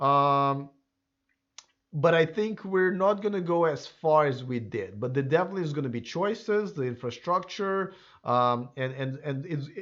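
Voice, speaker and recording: Against a quiet background, a man speaks at a moderate pace with a fairly high pitch and lively intonation. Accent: non-native. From Russia. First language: Russian. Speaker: YouTuber on electric cars. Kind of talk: live stream Q&A reading viewer comments. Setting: live stream. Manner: halting, many fillers.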